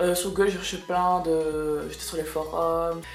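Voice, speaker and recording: A woman's fairly low-pitched voice in a monotone, flat intonation, with music in the background. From Belgium. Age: 20s. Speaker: kindergarten teacher. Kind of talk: casual talk to camera.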